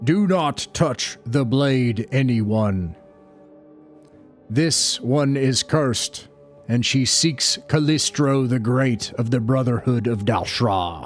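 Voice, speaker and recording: A man speaks at a medium pitch in a booming, put-on character voice, very slowly. Faint music plays in the background. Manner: commanding, ominous.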